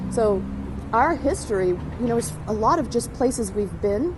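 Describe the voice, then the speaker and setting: A woman's fairly high voice rises and falls with lively intonation at a moderate pace, set against noticeable background noise. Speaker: actor. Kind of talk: travel host demo.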